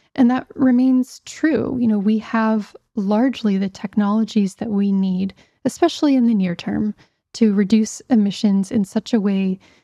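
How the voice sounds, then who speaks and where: A woman with an American accent speaks at a moderate pace in a dark, mellow, somewhat breathy tone. The sound is dry and close, with no echo. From US, Pittsburgh, Pennsylvania. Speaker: climate scientist. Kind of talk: interview. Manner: hesitant, many fillers.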